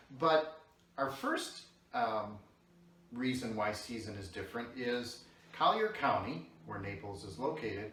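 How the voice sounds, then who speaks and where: A man with an American accent speaks at a fairly slow pace, with long, frequent pauses, ordinary pitch variation and big swings in loudness. Noticeable background noise and audible room echo are present. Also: medium pitch for a man. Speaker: video host. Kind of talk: casual chat. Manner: soft-spoken.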